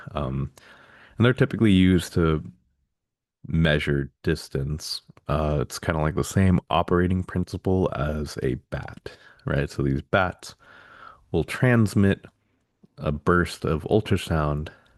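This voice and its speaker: A man talks at a fairly slow pace in a very deep, low voice, with ordinary pitch variation. He leaves long, frequent pauses, and the background is quiet. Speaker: instructor. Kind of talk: lecture. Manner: casual, many fillers.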